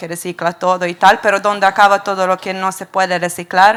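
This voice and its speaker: Noticeable background noise sits under speech with a Serbian accent. The pace is moderate and the intonation monotone and flat. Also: woman. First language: Serbian (speaking Spanish). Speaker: audience member. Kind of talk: audience question at panel. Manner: halting.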